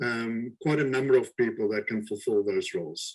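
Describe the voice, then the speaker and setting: A man speaks at a moderate pace. He has a slight South African accent. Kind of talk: webinar interview. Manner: halting.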